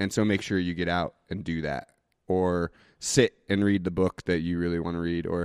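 In a Northwestern US accent, a man with a very deep, low pitch speaks at a moderate pace, the sound dry and close with no echo on a very clean recording with a silent background. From Idaho, US (Boise). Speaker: brewery owner. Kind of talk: casual interview.

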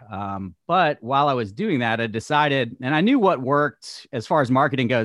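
An ordinary speaking voice from a man with an American accent, medium pitch, lively intonation and a fairly quick pace. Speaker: podcast host and realtor. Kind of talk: casual interview chat.

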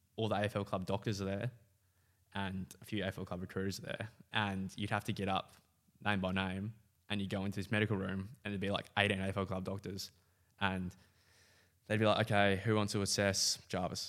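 In an Australian accent, a man with a fairly low pitch speaks at a moderate pace with monotone, flat intonation and long, frequent pauses. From Western Australia. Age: 20s. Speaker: footballer. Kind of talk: casual chat.

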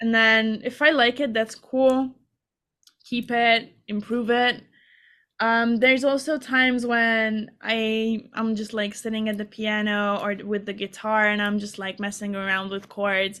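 In a very clean recording with a silent background, a woman with a Hungarian accent speaks fairly slowly in a fairly high, bright, sharp voice with fairly even intonation. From Hungary. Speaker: singer-songwriter. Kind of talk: interview.

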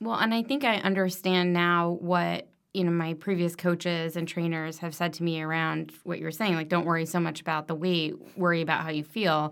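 On a very clean recording with a silent background, a woman in a plain, everyday voice speaks at a fairly low pitch and moderate pace with fairly even intonation. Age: 40s. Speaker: medical device professional. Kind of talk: casual interview.

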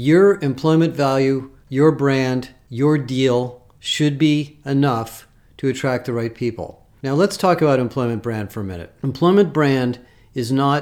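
This man talks at a fairly slow pace in a normal speaking voice, with an American accent, medium pitch and ordinary pitch variation. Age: 60s. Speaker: HR industry analyst. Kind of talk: solo commentary. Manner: casual.

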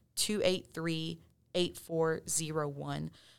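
On a very clean recording with a silent background, a woman with a Texan accent talks at a fairly slow pace with fairly even intonation. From West Texas. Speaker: police detective. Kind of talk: interview.

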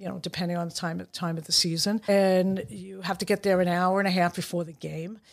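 In a very clean recording with a silent background, a woman with a New York accent and fairly low pitch speaks at a fairly quick pace with hardly any pauses, fairly even intonation and big swings in loudness. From Brooklyn, New York. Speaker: referee assigner. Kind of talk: casual chat.

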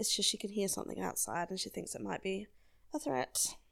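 A relaxed woman's voice with an Australian accent and lively intonation, on a very clean recording with a silent background. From South Australia. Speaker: podcast host. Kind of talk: casual solo monologue. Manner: relaxed, laughing often.

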